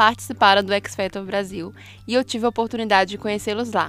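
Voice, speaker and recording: A plain, everyday voice from a woman, fairly high in pitch, at a moderate pace with ordinary pitch variation. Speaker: podcast host and singer. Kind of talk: casual chat.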